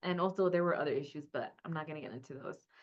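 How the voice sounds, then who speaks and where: A woman with a Spanish accent speaks in a fairly low pitch with ordinary pitch variation. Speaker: academic librarian. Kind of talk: webinar panel discussion.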